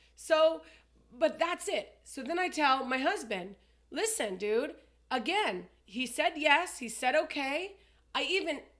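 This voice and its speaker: A woman speaks in a raised, projected voice. Her tone is bright and sharp, with very wide pitch swings. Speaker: podcast co-host. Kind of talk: casual chat. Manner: loud.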